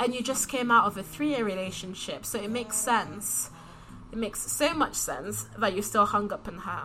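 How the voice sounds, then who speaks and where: With a London accent, a woman speaks at a moderate pace and fairly high pitch, using ordinary pitch variation. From London, UK (childhood partly in DR Congo). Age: 20s. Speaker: recent university graduate. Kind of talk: casual chat.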